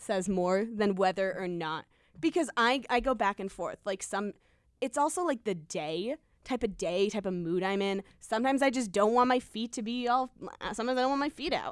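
A woman's unremarkable speaking voice, fairly high in pitch, with lively intonation and a moderate pace, in a dry, close sound with no echo on a very clean recording with a silent background. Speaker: college radio host. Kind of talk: casual chat. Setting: studio.

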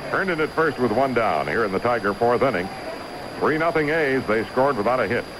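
Amid noticeable background noise, a man with a medium pitch talks at a fairly quick pace with lively intonation and very even loudness. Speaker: radio color commentator and co-announcer. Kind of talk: live baseball commentary, analysis between pitches. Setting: radio broadcast from ballpark.

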